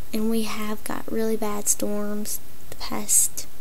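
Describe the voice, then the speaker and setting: The speech comes at a very slow pace with a Southern US accent. Light background noise is present. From Tennessee. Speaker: puppet vlogger. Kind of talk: casual talk to camera. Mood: annoyed, ranting. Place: home room. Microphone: webcam.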